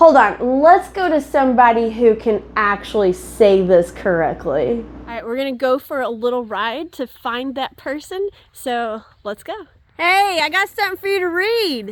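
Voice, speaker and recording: A woman with an American accent speaks at a moderate pace in a high voice, her loudness swinging a lot and her pitch swinging very widely. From half Southern US. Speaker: cookbook collector and home cook. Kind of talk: cooking tutorial. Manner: casual, chatty.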